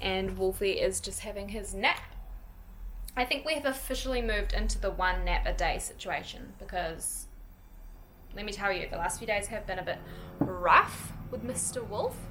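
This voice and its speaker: Speaking at a moderate pace with long, frequent pauses, a woman with a New Zealand accent is heard over noticeable background noise and audible room echo. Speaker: lifestyle vlogger, mother. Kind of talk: casual vlog, house tour. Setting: at home. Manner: casual, chatty.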